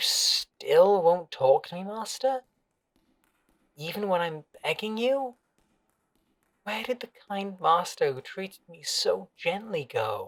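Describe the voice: A man speaks slowly in a put-on character voice. His pitch sits high and swings widely.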